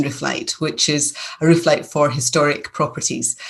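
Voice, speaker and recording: A woman speaks in a Scottish accent at a moderate pace. Her intonation stays fairly even. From Scotland, near Glasgow. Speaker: business owner. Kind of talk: interview.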